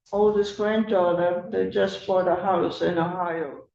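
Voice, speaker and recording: A woman with a dark, mellow tone talks in fairly even intonation, and audible room echo surrounds her voice. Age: 80s+. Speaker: tenant. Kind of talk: court hearing. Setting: courtroom.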